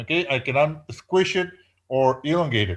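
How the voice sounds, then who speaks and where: A man speaks with a non-native accent and very wide pitch swings. The background is quiet. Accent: non-native English speaker. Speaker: professor. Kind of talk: lecture. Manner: hesitant with many fillers.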